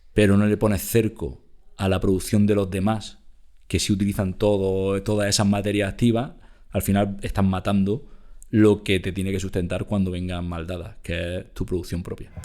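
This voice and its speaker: On a very clean recording with a silent background, a man speaks in a flat monotone with an Andalusian accent. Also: fairly low pitch for a man, moderate pace. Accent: Almería. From Almería, southern Spain. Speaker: company executive. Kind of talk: interview. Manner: halting, many repetitions.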